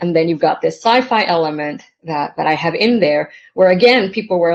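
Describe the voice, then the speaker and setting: Here a woman speaks in a Spanish accent at medium pitch. She keeps a moderate pace with ordinary pitch variation. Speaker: novelist. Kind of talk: panel conversation. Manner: halting, many fillers.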